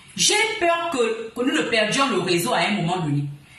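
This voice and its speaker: Over noticeable background noise and audible room echo, a woman talks at a high pitch with very wide pitch swings. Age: 40s. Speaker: online commentator. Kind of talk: livestream rant. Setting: live stream at home. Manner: combative.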